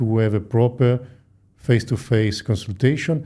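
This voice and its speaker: A man at a moderate pace with an Italian accent, a medium pitch and a dark, mellow tone. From Italy. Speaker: plastic surgeon. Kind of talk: interview. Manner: hesitant with frequent fillers.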